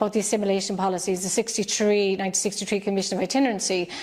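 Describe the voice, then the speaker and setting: A woman speaks with an Irish accent. Her pitch sits in the medium range. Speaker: children's author, poet and activist. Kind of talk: interview answer.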